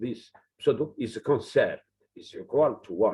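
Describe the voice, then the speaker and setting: Somewhat breathy, a man with a non-native accent speaks with very wide pitch swings. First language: not English. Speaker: physicist giving a seminar talk. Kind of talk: lecture. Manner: halting.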